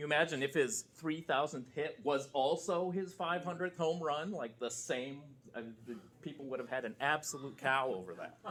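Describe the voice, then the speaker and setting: Speaking at a moderate pace, a man with a fairly high pitch and ordinary pitch variation has an unremarkable speaking voice. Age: 40s. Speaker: lecturer. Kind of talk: lecture. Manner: casual.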